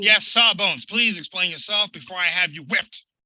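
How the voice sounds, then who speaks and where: This put-on character voice moves at a fairly quick pace with ordinary pitch variation, in a dry, close sound with no echo. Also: man, high pitch for a man. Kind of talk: period nautical stage drama. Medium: stage play. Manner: commanding, blustering.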